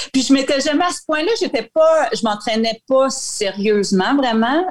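This woman's voice sits fairly high and moves at a moderate pace. Its pitch swings very widely. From Acadia, northwestern New Brunswick (Saint-Quentin). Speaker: retired Olympic cross-country skier. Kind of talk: interview.

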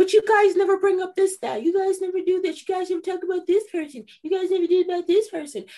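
Doing a put-on character voice, a woman speaks very fast in an extremely high, squeaky, whiny tone with fairly even intonation. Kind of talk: casual, sports talk. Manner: mocking, whiny.

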